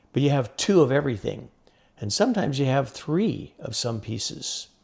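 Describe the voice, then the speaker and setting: A man talks at a fairly quick pace with medium pitch and lively intonation. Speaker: oil field physicist and instrument inventor. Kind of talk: interview conversation. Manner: loud.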